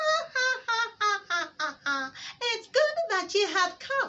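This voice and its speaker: Using a put-on character voice, a woman speaks at an extremely high pitch with very wide pitch swings. It sounds nasal and squeaky, at a fairly slow pace. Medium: read story. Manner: chuckling, boastful.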